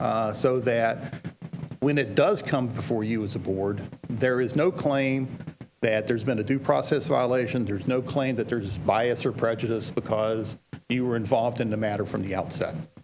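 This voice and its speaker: A man with a West Virginia accent, medium pitch and ordinary pitch variation at a moderate pace, over noticeable background noise. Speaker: legal trainer for school boards. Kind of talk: training presentation.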